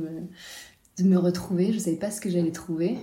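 Audible room echo fills the recording. The speaking pace is moderate. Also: woman. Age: 30s. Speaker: freediving instructor and breathwork coach. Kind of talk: interview.

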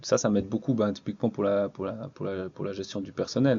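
Fairly even intonation from a man with a fairly low pitch. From French-speaking Switzerland, Estavayer-le-Lac. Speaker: water sports centre manager. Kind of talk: casual interview. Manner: halting, many repetitions.

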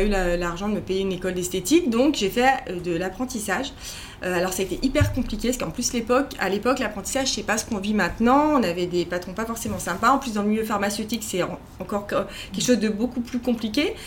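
Noticeable background noise sits behind a woman with a fairly high pitch. She talks at a very fast pace with ordinary pitch variation. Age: 40s. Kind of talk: interview conversation. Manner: halting, many repetitions and fillers.

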